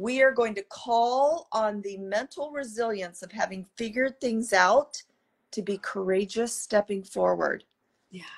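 With an American accent, a woman speaks at a fairly slow pace and a fairly high pitch, with ordinary pitch variation. Her loudness swings widely against a quiet background. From US Midwest. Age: 50s. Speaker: orthopedic surgeon. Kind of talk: interview. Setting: video call. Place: home room. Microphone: video call.

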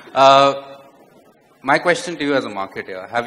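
Over light background noise, a man talks with lively intonation at a fairly low pitch. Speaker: tech company executive. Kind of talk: panel discussion. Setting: stage with audience. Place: stage. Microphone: handheld.

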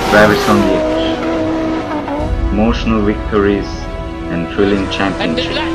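Loud background noise accompanies a man who speaks at a fairly slow pace. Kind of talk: motorsport tribute narration. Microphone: headset.

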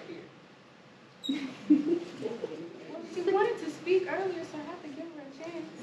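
Over loud background noise, a woman talks with an American accent. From Lafayette, Louisiana. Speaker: spoken word poet. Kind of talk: interactive workshop talk to audience. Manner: playful, engaging. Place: classroom.

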